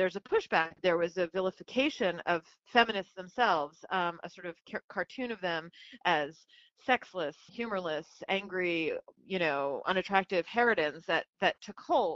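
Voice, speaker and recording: With an unremarkable speaking voice, a woman talks at a moderate pace in a medium pitch, with ordinary pitch variation. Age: 40s. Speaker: feminist journalist. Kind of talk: interview.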